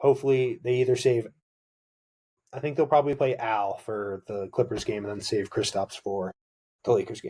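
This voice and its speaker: On a very clean recording with a silent background, a man with a medium pitch and a dark, mellow, somewhat breathy tone speaks with ordinary pitch variation, big swings in loudness and long, frequent pauses. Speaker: sports podcast host. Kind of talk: solo sports podcast talk. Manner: fast; animated.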